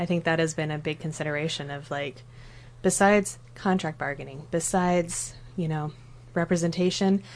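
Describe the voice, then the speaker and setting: A woman speaks in a very deep, low pitch with an American accent. Her pace is moderate and her intonation fairly even. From southern Oregon, Douglas County. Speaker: special education teacher. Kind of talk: casual chat.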